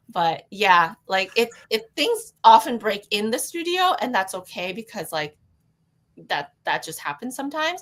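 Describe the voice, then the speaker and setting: With a Canadian accent, a woman talks at a fairly slow pace in a fairly high pitch, her voice making very wide pitch swings and big swings in loudness. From Canada, Toronto. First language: Cantonese. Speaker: calligraphy and neon artist. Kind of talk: interview conversation.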